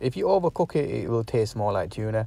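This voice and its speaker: Fairly quick speech from a man, fairly low-pitched with vocal fry, dry with no echo. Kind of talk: casual cooking tutorial. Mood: relaxed, upbeat. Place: kitchen. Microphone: phone near.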